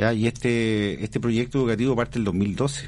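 A man is speaking. The background is quiet. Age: 40s. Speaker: school director and teacher. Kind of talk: radio interview. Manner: halting.

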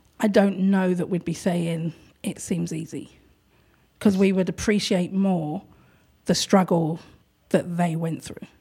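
A woman with a London accent speaks in a somewhat breathy, dark, mellow tone. Her intonation is fairly even, with big swings in loudness and long, frequent pauses. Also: fairly low pitch for a woman. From London, England. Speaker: art gallery owner. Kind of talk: casual interview chat. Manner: talkative, chatty.

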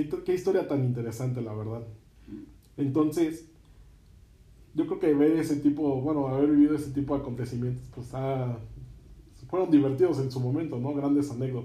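A man's somewhat breathy, dark, mellow voice, fairly high in pitch, with fairly even intonation, a moderate pace, long and frequent pauses, and audible room echo. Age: 20s. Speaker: podcast host. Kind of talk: interview.

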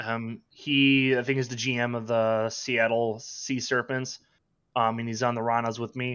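At a fairly slow pace, a man with a Minnesotan accent talks at a medium pitch in a monotone, flat intonation. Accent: Minnesota. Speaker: online sports sim league player. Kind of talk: casual chat.

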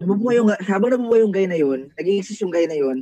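A man speaks in a dark, mellow tone. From Philippines, Bicol. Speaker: anonymous guest sharing personal story. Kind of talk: personal testimony.

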